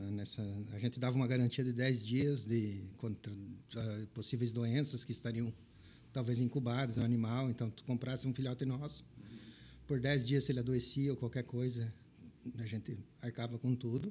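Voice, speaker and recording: At a moderate pace, a man speaks at a medium pitch in a somewhat breathy, dark, mellow tone, with fairly even intonation and long, frequent pauses. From southwestern Paraná, Brazil. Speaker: pet shop business owner and veterinarian. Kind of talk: interview conversation.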